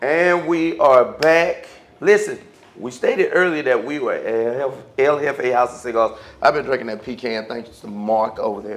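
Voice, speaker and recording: A man speaks at a moderate pace, his loudness swinging widely. Noticeable background noise runs underneath. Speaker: talk show host. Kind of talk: casual chat. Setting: cigar lounge.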